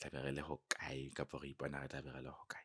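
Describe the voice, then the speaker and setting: Speaking at a fairly quick pace with a Lesotho accent, a man has a very deep, low pitch and vocal fry. The sound is dry and close, with no echo. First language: Sesotho. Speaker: clothing brand cofounder. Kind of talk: casual interview. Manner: code-switching English and Sesotho.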